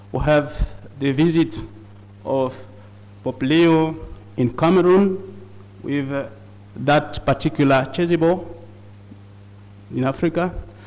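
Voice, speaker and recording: With long, frequent pauses and a fairly slow pace, a man with fairly high pitch and ordinary pitch variation speaks against noticeable background noise. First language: not English. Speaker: conference speaker on liturgy. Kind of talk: conference presentation. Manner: halting.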